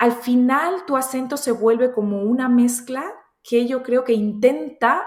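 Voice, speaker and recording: A woman's high pitch with ordinary pitch variation, at a fairly slow pace. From Spain and Colombian family, raised across countries. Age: 30s. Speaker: entrepreneur. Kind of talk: interview. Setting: studio.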